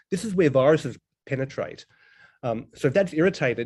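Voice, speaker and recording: A man's dark, mellow tone at a fairly quick pace. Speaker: integrative medicine doctor and professor. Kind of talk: lecture. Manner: fast.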